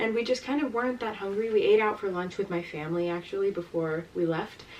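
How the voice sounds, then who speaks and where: Noticeable background noise sits under a woman with an American accent. She talks at a fairly quick pace with ordinary pitch variation. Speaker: travel vlogger. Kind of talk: casual chat. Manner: hesitant, many fillers.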